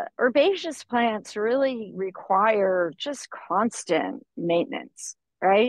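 A woman speaks at a very slow pace with a fairly high pitch and lively intonation. The sound is dry with no echo, over a quiet background. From Florida. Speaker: organic farmer; guest. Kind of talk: interview. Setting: outdoors on a farm buggy. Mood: thoughtful, relaxed. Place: car. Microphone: video call.

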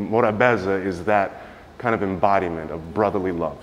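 Fairly low-pitched man with an American accent, fairly even intonation and light background noise. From New York. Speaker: visual artist. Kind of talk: gallery tour talk. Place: hall. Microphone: phone near.

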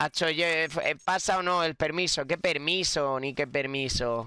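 A man speaks very slowly at a fairly high pitch, his tone bright and sharp. Pitch variation is ordinary, the sound dry with no echo, and the background quiet. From Spain. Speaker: gaming youtuber. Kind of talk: gameplay commentary. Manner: animated. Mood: frustrated joking in last clip. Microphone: studio mic.

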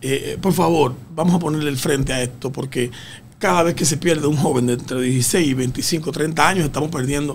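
Over light background noise, a man speaks at a fairly quick pace with a fairly high pitch and ordinary pitch variation. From Dominican Republic. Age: 50s. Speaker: road safety expert; guest. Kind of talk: radio interview. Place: studio. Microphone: studio mic.

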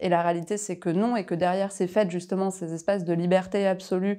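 A woman speaks at a fairly quick pace in a dark, mellow tone with monotone, flat intonation. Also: quiet background. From France, Paris region (Val-d'Oise); France. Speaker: lawyer. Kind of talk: interview. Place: office. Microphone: lapel.

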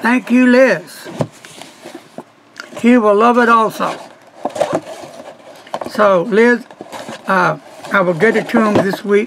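A man with a high voice speaks very slowly, leaving long, frequent pauses over noticeable background noise. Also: ordinary pitch variation. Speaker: pen reviewer. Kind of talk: casual vlog chat.

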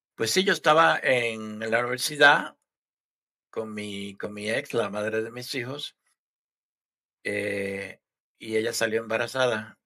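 Very slow delivery full of long, frequent pauses, a bright, sharp tone, ordinary pitch variation and a quiet background. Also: man. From Puerto Rico. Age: 60s. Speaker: army veteran; podcast guest. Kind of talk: interview answer. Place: home room. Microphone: headset.

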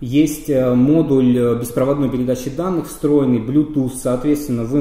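Fairly even intonation marks a man talking at a moderate pace. Audible room echo is present. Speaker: radio equipment reviewer. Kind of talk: product review explanation. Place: office.

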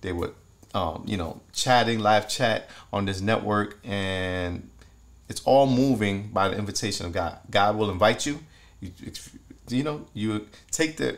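This man's fairly low voice moves at a fairly slow pace, broken by long, frequent pauses, with ordinary pitch variation. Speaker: devotional host. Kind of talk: sermon. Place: home room.

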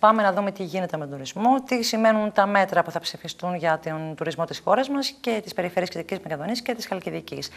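A woman at a medium pitch speaks at a fairly quick pace, with hardly any pauses. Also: lively intonation, big swings in loudness. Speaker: TV show host. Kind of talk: TV interview. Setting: studio. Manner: formal. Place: studio.

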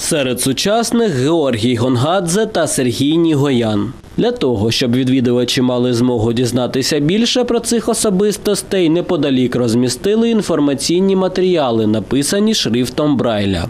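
This man's voice sits fairly high and swings very widely in pitch. He talks at a moderate pace with hardly any pauses and very even loudness, over noticeable background noise. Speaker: TV news reporter. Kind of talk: news reading.

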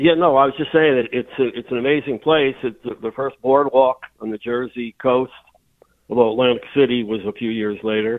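Delivered at a moderate pace, a normal speaking voice keeps its intonation fairly even. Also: man, medium pitch for a man. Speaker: local historian and author. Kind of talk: radio interview.

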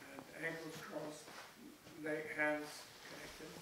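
Noticeable background noise and audible room echo surround a man who speaks fairly slowly. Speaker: meditation teacher. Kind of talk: guided meditation instruction. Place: hall.

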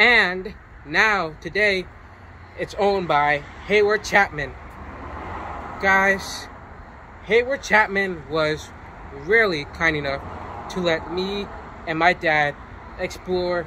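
A man speaks in a raised, projected voice at a very slow pace, with ordinary pitch variation. Long, frequent pauses break up his speech over noticeable background noise. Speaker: vlogger. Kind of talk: casual vlog intro. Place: street.

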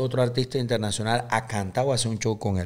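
Talking at a fairly quick pace, a man at medium pitch has a plain, everyday voice. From Panama. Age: 30s. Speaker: accordionist and band leader; guest. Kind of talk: casual interview chat. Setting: studio. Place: studio. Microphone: studio mic.

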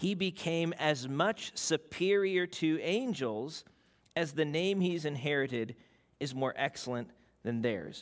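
Against a quiet background, a man talks at a fairly slow pace. His pitch variation is ordinary. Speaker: preacher. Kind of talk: sermon. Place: church.

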